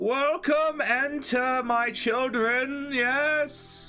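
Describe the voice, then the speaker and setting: A put-on character voice, high-pitched and very slow, with faint music in the background. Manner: welcoming, grand.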